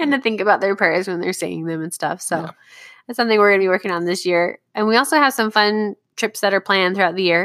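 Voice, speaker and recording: With a General American accent, a woman talks at a very fast pace in an animated tone and medium pitch, with ordinary pitch variation. The sound is dry and close with no echo. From Southern California. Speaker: parenting podcast co-host. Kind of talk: casual chat.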